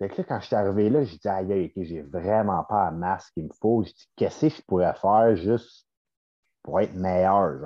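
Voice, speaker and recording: A very deep, low male voice, moderately paced, with ordinary variation in pitch. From Quebec, Laurentides. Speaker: bodybuilder and posing coach. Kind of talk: casual chat.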